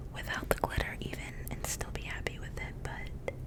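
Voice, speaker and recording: A woman whispering in a gentle tone over noticeable background noise. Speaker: ASMR content creator. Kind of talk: ASMR whispered ramble to camera. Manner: gentle, whispered.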